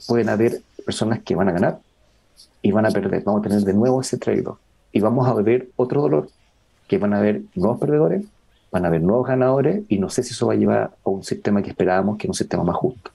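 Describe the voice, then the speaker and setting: At a very fast pace broken by long, frequent pauses, a man speaks in a dark, mellow tone at medium pitch with ordinary pitch variation. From northern Chile, Iquique. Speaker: biologist and sustainability researcher. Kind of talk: conversational interview. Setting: outdoors in a garden.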